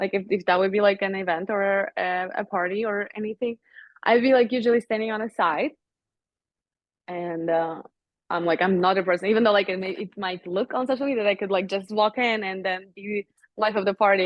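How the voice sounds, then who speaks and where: A woman with a non-native accent and medium pitch talks at a fairly quick pace. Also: ordinary pitch variation. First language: not English. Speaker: model. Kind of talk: interview. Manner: hesitant, many fillers.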